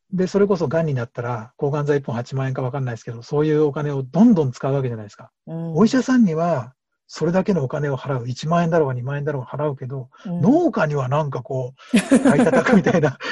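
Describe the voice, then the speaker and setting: A man with a fairly high pitch and a dark, mellow tone, somewhat breathy, at a very fast pace with hardly any pauses, lively intonation and big swings in loudness. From Japan, Hamamatsu, Shizuoka. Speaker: organic farmer. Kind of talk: interview.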